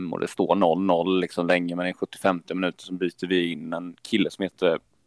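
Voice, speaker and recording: Flat and monotone in delivery, the recording sounds dry and close, without any echo. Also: man. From Falkenberg, Halland, Sweden. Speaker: football supporter leader. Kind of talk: interview. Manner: hesitant, many fillers.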